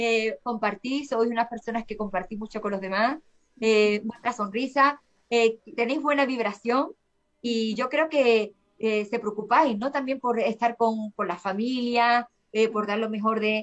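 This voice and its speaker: Her voice unremarkable and fairly high, a woman speaks at a fairly slow pace with ordinary pitch variation. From Seville, Andalusia, Spain. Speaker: singer-songwriter. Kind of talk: interview conversation. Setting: remote call from Spain.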